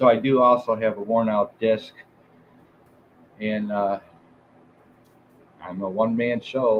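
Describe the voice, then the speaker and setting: A man with a Detroit accent speaks at a moderate pace in a medium-pitched voice. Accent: Midwestern US (Detroit area). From Southeast Michigan. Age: 50s. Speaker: music show host. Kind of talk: live stream chat. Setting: live stream. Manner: halting, many fillers.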